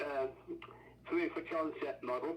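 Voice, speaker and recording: A man speaks with an English accent. He takes a fairly slow pace. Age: 80s+. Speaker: inventor's brother and researcher. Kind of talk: casual chat. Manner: halting.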